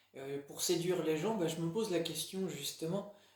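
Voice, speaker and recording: Audible room echo surrounds the recording. A man speaks at a high pitch with monotone, flat intonation. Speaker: religious video blogger. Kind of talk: casual monologue. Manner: halting, many fillers.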